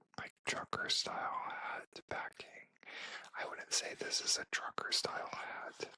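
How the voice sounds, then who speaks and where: The speaker whispers at a fairly slow pace. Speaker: ASMR creator and F1 fan. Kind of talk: whispered ASMR show-and-tell merch haul. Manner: whispered, soft-spoken, slow.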